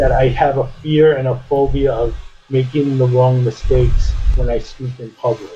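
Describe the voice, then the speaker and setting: Music in the background beneath a man's moderately paced speech. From United States. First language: French. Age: 50s. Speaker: podcast guest. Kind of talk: casual conversation. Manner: halting, many fillers and restarts.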